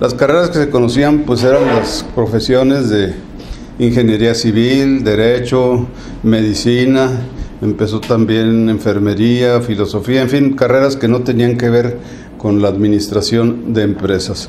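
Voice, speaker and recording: A man with a northern Mexican accent at a medium pitch, fairly slow and fairly even in intonation, very even in loudness, with noticeable background noise and audible room echo. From northern Mexico, Chihuahua. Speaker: retired accountant and university alumnus. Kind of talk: interview.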